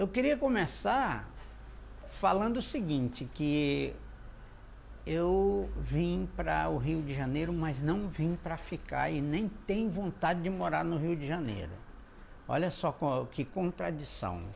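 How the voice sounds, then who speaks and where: A man at a very slow pace, with audible room echo. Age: 60s. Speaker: cordel poet. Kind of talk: interview. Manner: halting.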